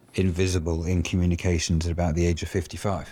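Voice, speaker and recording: A man with a British accent speaks at a very deep, low pitch in a flat monotone with a dark, mellow tone. The recording is very clean, with a silent background. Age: 50s. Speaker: advertising agency executive. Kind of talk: interview.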